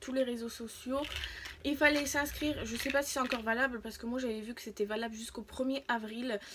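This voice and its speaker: A high-pitched woman's voice at a fairly quick pace, fairly even in intonation, over noticeable background noise. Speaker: YouTuber reviewing free samples. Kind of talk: casual vlog. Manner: halting, many fillers.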